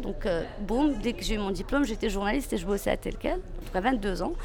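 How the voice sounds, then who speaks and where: Noticeable background noise sits behind this recording. A woman speaks over it at a fairly quick pace. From Morocco, Meknes. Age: 30s. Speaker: former journalist. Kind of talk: interview testimony.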